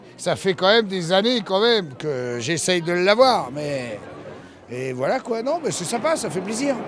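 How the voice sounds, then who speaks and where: A man speaks at a fairly slow pace in a high voice with very wide pitch swings, over light background noise, in a dry sound with no echo. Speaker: candle seller at market. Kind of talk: casual interview. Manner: jovial, laughing. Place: market.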